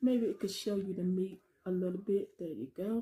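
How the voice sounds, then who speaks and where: A dark, mellow, somewhat breathy voice at a fairly slow pace. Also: woman. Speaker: home cooking channel host. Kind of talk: casual mukbang vlog chat. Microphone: phone near.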